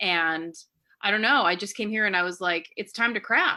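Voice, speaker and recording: This woman speaks with a West Coast accent at a fairly quick pace. Her intonation is lively. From California. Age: 30s. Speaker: church member. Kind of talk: casual interview. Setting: podcast interview.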